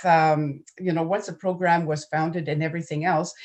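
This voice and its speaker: A woman with a French accent speaks in a fairly low pitch. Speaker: nonprofit program manager. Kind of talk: conference presentation.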